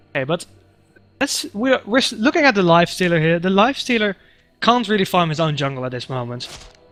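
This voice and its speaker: A man with a high voice speaks at a fairly quick pace, his pitch swinging very widely. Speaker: game commentator. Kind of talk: live commentary. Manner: animated; halting.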